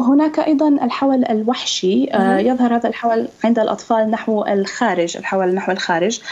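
A woman's fairly high voice, lively in intonation and moderate in pace. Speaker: ophthalmologist; guest. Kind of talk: interview, medical explanation. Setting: video call. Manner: hesitant, with filler sounds. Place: home room. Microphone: Skype connection; video call.

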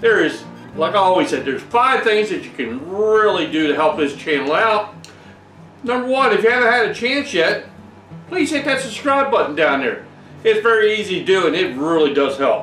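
A man with a high voice talks at a moderate pace, with audible room echo and faint music in the background. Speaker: home brewing channel host. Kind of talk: tutorial. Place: workshop.

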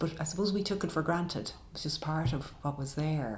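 Amid audible room echo, a woman talks with a very deep, low pitch and ordinary pitch variation. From Ireland. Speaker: poet. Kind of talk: interview answer. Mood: warm, reflective. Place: home room.

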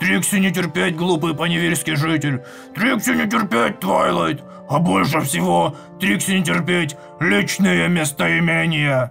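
Man in a put-on character voice, fairly high pitch, moderate pace, clear music in the background. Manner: crude, stomping.

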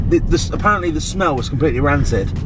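Over loud background noise, a man talks at a very fast pace, the sound dry with no echo. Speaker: food vlogger. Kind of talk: casual vlog chat. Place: car. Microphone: phone near.

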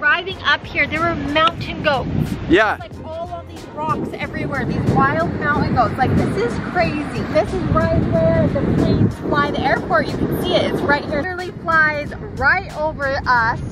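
Music plays in the background as a woman speaks at a moderate pace, the sound dry with no echo. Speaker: travel vlogger. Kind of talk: casual vlog chat. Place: beach. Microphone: phone near.

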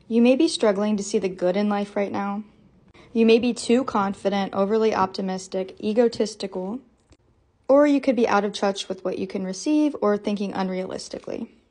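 Clearly a woman, she sounds somewhat breathy. The background is quiet. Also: ordinary pitch variation, fairly quick pace. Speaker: tarot content creator. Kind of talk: tutorial. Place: home room.

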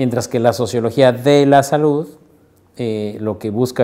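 This is a man with a medium pitch. His tone is dark and mellow, his intonation fairly even. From Mexico, Morelia (Michoacán); Michoacán, Mexico. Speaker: sociologist and university researcher. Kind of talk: interview. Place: office. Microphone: lapel.

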